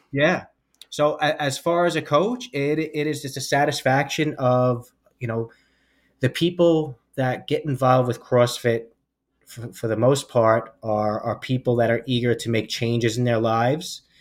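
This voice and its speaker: The speaker has a normal speaking voice with an American accent. The pace is moderate and the pitch variation ordinary. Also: man, medium pitch for a man, very clean recording, silent background. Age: 40s. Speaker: law enforcement officer and fitness coach. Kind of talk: interview podcast.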